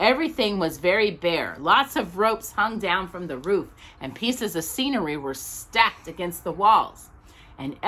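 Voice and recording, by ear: Lively intonation runs through the delivery. It is read aloud in a natural voice.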